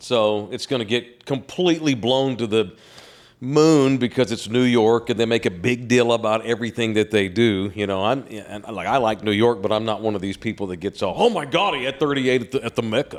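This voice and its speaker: Talking at a fairly quick pace, a man with a Texan accent shows ordinary pitch variation. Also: medium pitch for a man, very clean recording, silent background. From Texas. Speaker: sports media personality. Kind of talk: casual chat.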